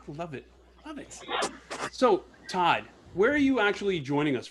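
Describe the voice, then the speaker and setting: Pitched high, a man's voice swings very widely in pitch, with big swings in loudness too. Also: moderate pace. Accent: American. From New Jersey. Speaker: podcast host. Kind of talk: casual interview chat.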